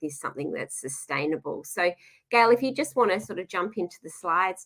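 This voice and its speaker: With an Australian accent, a woman speaks at a fairly quick pace in a bright, sharp tone at medium pitch. Her pitch swings very wide, and the sound is dry and close with no echo. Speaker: nutritionist. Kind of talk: webinar presentation. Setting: live webinar video call.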